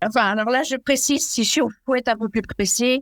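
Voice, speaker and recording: Here the speaker is female. Her audio is very clean, and the background is silent. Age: 70s. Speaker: retired executive and amateur athlete. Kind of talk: podcast interview.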